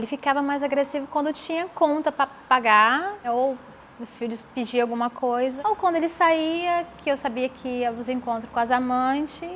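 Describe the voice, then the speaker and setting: Here a woman talks with a high voice. The pitch varies in an ordinary way. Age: 40s. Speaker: domestic violence survivor. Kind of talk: testimony.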